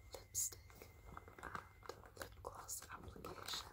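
A woman is speaking. Her pace is very slow. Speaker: ASMR creator. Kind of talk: ASMR whisper talk to camera. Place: home room. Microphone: phone near.

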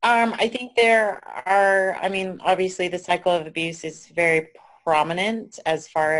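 A woman at a fairly slow pace, ordinary pitch variation, quiet background. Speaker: abuse survivor. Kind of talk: testimony. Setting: video call. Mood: earnest, somewhat angry. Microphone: video call.

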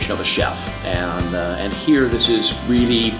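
A man talks with clear music in the background. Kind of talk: interview answer. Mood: proud, warm. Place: cafe.

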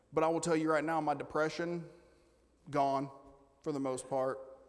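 A man speaks at a fairly high pitch. His pace is moderate and his intonation fairly even.

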